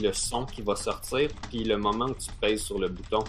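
This is a man talking. He has a Quebec accent. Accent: Québécois French. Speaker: podcast co-host. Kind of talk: casual chat.

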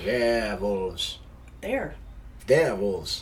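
A man puts on a character voice and talks at a fairly slow pace, with clear background noise behind him. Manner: mock-spooky, joking.

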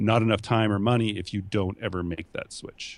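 A man's fairly low-pitched voice with fairly even intonation, on a very clean recording with a silent background. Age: 30s. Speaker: entrepreneur and podcast host. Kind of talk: casual interview chat. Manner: self-conscious about his voice.

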